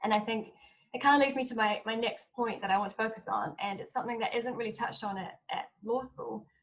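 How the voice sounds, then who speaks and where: Talking at a very fast pace, a woman uses a fairly high pitch with ordinary pitch variation. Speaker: lawyer working with trafficking victims. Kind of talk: panel talk.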